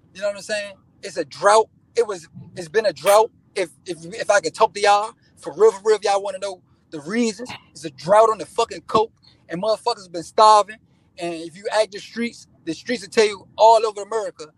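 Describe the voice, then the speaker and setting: Heard in a dry, close sound with no echo, a man speaks at a high pitch and a fairly quick pace, with fairly even intonation and big swings in loudness. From Washington DC. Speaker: rapper. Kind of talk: casual interview. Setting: in a car.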